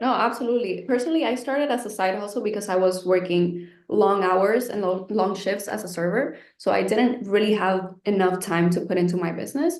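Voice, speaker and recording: Here is a woman with an unremarkable speaking voice, medium pitch and ordinary pitch variation. She goes at a fairly quick pace with hardly any pauses. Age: 20s. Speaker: online business creator, course student. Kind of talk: webinar interview.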